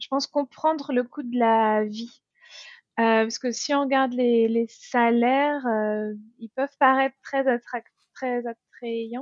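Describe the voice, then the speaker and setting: A woman's high-pitched, flat, monotone voice at a very slow pace, broken by long, frequent pauses. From France. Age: 30s. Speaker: expat mother. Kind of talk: interview testimony.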